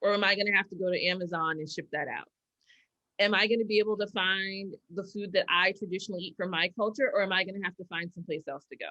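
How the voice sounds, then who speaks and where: Talking at a very fast pace, a woman with an American accent keeps a medium pitch and fairly even intonation while her loudness swings widely. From New York. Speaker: keynote speaker. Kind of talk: keynote Q&A discussion. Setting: video call.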